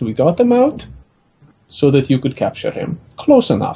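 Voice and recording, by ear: Speaking at a fairly slow pace, a man has a fairly high pitch, a dark, mellow tone with a slightly husky edge, and very wide pitch swings.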